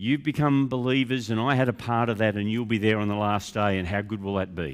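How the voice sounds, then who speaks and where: A man speaks with an Australian accent. He moves at a fairly quick pace. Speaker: pastor. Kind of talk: sermon.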